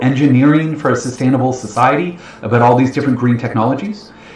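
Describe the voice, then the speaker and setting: Room echo is audible as a man talks at a very fast pace with ordinary pitch variation. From Ontario, Canada (London, Ontario). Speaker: financial educator, investment planner. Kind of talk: webinar presentation. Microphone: webcam.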